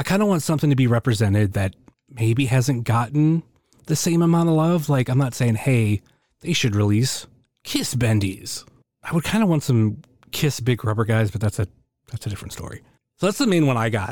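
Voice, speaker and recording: This is an ordinary speaking voice with lively intonation. It goes at a fairly quick pace. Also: man, medium pitch for a man, very clean recording, silent background. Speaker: listener. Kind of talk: listener question.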